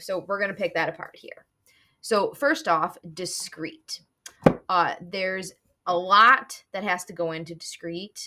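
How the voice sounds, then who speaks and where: A woman shouts in a put-on character voice, raspy and at medium pitch. She goes at a fairly slow pace with big swings in loudness. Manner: loud, yelling.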